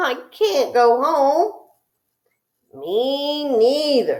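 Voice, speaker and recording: Pitched high, a woman speaks in a put-on character voice. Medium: read story. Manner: gentle, meek.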